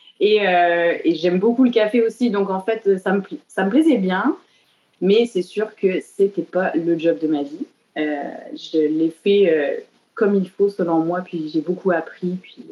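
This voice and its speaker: A woman talks at a very slow pace with big swings in loudness. Her pitch is medium, with ordinary pitch variation. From southern France. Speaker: tattoo artist. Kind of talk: interview. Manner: hesitant, many fillers.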